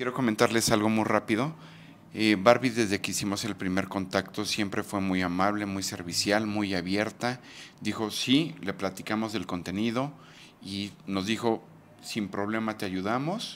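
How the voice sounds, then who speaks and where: In a plain, everyday voice, a man talks at a fairly slow pace with fairly even intonation over light background noise. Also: fairly low pitch for a man. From Mexico. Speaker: YouTube documentary interviewer; interviewer, channel host. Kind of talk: street interview; scripted narration. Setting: outdoors. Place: home room. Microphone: handheld.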